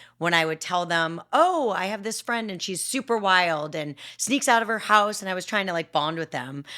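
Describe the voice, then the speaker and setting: A woman talks loudly at a moderate pace, her medium pitch carrying lively intonation with hardly any pauses. The recording is very clean, with a silent background. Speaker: podcast co-host. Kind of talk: casual chat. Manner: straightforward.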